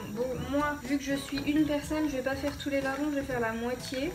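Clear music in the background under a woman speaking at a moderate pace. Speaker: home cook vlogger. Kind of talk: casual cooking tutorial. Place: kitchen. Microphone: phone near.

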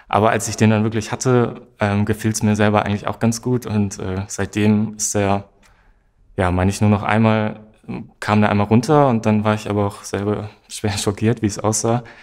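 A man's fairly low pitch and monotone, flat intonation at a moderate pace, over a quiet background. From northwestern Germany, Osnabrück; northwestern Germany. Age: 20s. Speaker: social work student; interviewee. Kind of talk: interview. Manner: hesitant, many fillers. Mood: relaxed, smiling.

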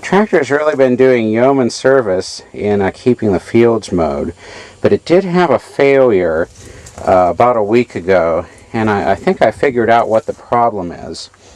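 A man at a moderate pace with very wide pitch swings, dry sound with no echo. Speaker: tractor owner doing repairs. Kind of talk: tutorial. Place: farm machine. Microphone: phone near.

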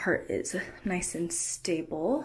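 Vocal fry runs through a woman's fairly low voice. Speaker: costume tutorial maker. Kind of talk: tutorial. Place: home room. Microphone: phone near.

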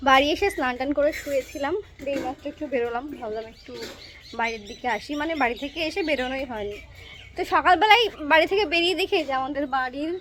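This woman's high-pitched voice has lively intonation and big swings in loudness. Noticeable background noise is present. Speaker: vlogger. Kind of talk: casual vlog narration.

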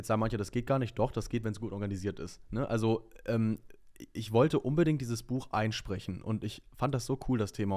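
A man speaks at a fairly quick pace in a dark, mellow tone, his intonation fairly even against a quiet background. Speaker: singer and TV presenter, aspiring voice actor; TV presenter, aspiring voice actor. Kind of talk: casual interview. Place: studio. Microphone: studio mic.

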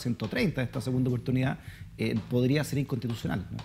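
This man has a Chilean accent and a medium pitch with a dark, mellow tone. He talks at a very fast pace with vocal fry. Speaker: talk show host. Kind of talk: interview. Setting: studio.

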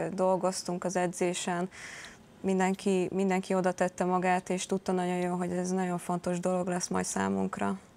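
The pace is moderate. It belongs to a woman talking. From Hungary. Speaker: handball player. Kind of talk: interview. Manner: halting. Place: studio. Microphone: lapel.

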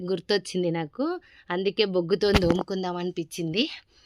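Medium pitch and fairly even intonation in a woman's voice. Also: dry, close sound with no echo. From Telangana, Jangaon district. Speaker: vlogger. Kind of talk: casual vlog walkthrough.

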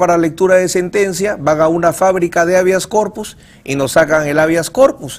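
A man talks at a moderate pace with ordinary pitch variation. His voice is high in pitch. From Peru. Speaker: criminal lawyer. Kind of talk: TV interview. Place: studio.

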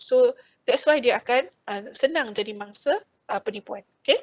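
Against a quiet background, a woman talks at a fairly slow pace in a high voice. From Malaysia. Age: 50s. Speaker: financial planner and credit talk speaker; speaker. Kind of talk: webinar talk. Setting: video call. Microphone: video call.

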